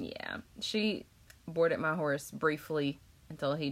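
Speaking with an American accent, a woman talks at a fairly slow pace. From North Carolina, Chapel Hill. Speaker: podcast host. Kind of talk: casual interview.

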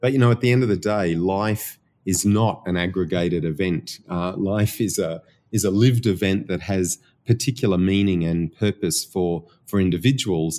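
Recorded very cleanly against a silent background, a man with an Australian accent uses a very deep, low pitch and a dark, mellow tone, speaking at a moderate pace with ordinary pitch variation. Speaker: research institute director and professor. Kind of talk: interview about research. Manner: hesitant, repeats words.

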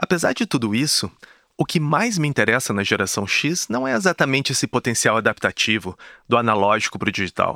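A bright, sharp tone moves at a fairly quick pace with lively intonation. The very clean recording has a silent background and a dry, close sound with no echo. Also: man, medium pitch for a man. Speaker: podcast host. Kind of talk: scripted narration.

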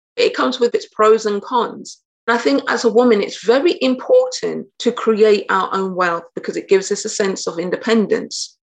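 Speaking with an English Midlands accent, a woman keeps a moderate pace. She leaves hardly any pauses. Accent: English Midlands (British). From England, Nottingham. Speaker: blockchain educator and entrepreneur. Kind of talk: interview conversation.

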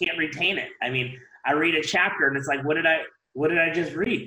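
A man's moderately paced speech, with ordinary pitch variation, carries an audible room echo. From Ohio, US Midwest. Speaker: dental hygienist and event organizer. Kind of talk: casual interview. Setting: video call.

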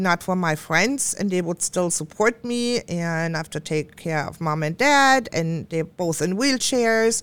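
Using lively intonation, a woman speaks with a German accent. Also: very clean recording, silent background. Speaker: co-host and psychic medium. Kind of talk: casual chat.

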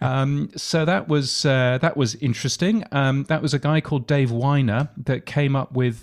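With a British accent, a man speaks at a moderate pace with ordinary pitch variation. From UK. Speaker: podcasting expert and radio futurologist. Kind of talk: interview. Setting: remote call from Australia.

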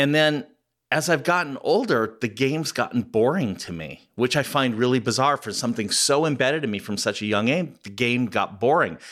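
On a very clean recording with a silent background, a man with an American accent talks in a normal speaking voice at a fairly quick pace, medium pitch and lively intonation. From Southern California. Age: 60s. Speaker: podcast host. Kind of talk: interview.

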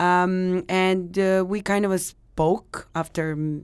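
The speaker has a Serbian accent and fairly even intonation. The recording is very clean with a silent background. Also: woman. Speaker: secondhand clothing store owner. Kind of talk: interview. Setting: studio. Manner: halting.

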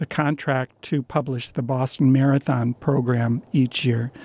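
With an American accent, a man speaks at a fairly slow pace in a normal speaking voice, at medium pitch with ordinary pitch variation, the sound dry and close with no echo. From upstate New York. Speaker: sports journalist. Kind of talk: interview. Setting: studio.

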